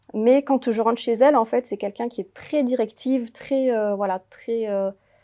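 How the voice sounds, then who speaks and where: The recording is very clean and dry, close with no echo and a silent background. A woman speaks at a moderate pace with a fairly high pitch and fairly even intonation. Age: 30s. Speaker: home care aide. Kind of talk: interview. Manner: hesitant, many fillers.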